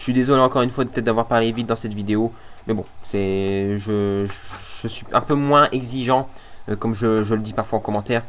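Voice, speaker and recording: With fairly even intonation, a man at a medium pitch speaks at a fairly quick pace, leaving long, frequent pauses. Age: student. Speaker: electronics YouTuber. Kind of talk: casual vlog announcement. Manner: fast; hesitant, many fillers.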